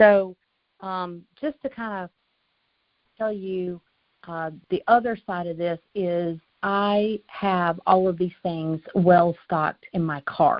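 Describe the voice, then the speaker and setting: A woman speaks with a North Carolina accent. Her pitch is fairly low and her intonation fairly even. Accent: Southern US, North Carolina. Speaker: insurance agent trainer. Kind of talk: training call.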